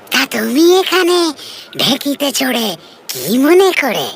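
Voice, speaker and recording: A cartoonish character voice, pitched high. It moves at a fairly slow pace. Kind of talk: comic cartoon voice. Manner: chatty, curious.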